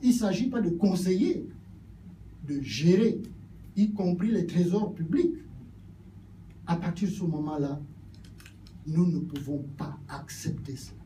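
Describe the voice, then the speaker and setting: A man speaks at a very slow pace, pitched high for a man, with long, frequent pauses. His tone is dark and mellow, and the room echo is audible. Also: ordinary pitch variation. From Gabon. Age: 70s. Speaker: politician. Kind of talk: political speech.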